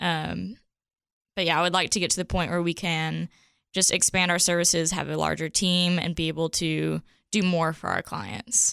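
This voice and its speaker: In a very clean recording with a silent background, a woman with an ordinary speaking voice and a fairly low pitch talks at a moderate pace with very even loudness and fairly even intonation. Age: 20s. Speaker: branding studio co-founder. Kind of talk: interview. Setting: studio.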